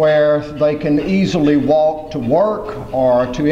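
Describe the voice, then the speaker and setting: Recorded with audible room echo and noticeable background noise, a man with a Southern US accent speaks at a fairly high pitch with fairly even intonation. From US South (Mississippi). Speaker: former mayor and transportation advocate. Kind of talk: keynote speech. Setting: conference stage with audience.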